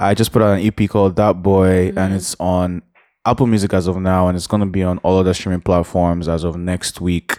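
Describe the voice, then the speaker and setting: A man talks at a fairly quick pace with a very deep, low pitch and a dark, mellow tone. The recording is very clean and dry, close with no echo, over a silent background. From Nigeria, Port Harcourt. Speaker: musician. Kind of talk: casual chat. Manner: animated.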